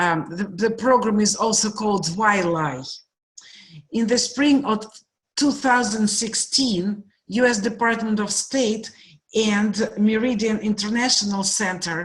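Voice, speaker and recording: A woman's fairly high, somewhat breathy voice with a Russian accent, ordinary pitch variation and a fairly slow pace. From Russia, Moscow. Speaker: guest speaker, program director. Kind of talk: presentation.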